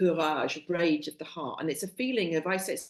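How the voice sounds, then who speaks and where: A woman with a West Country accent, at a moderate pace. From Somerset, England. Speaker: soul coach and psychologist. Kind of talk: interview answer.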